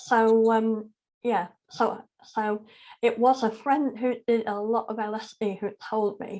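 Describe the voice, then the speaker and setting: A woman with a Yorkshire accent speaks at a very slow pace with monotone, flat intonation. Her fairly high voice has a dark, mellow tone. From South Yorkshire, northern England. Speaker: charity chief executive and spiritual teacher. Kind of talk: interview conversation.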